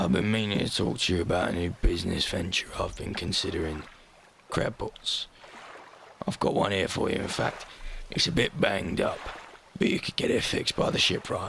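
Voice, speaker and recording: Putting on a character voice, a man speaks raspily at a fairly low pitch and fairly quick pace, broken by long, frequent pauses. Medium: solo performance. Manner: brisk, businesslike.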